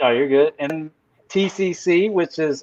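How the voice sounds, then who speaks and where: A man with a Southern US accent talks at a moderate pace with fairly even intonation. The sound is dry and close, with no echo. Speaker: crypto company representative. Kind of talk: casual livestream chat. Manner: halting, many fillers.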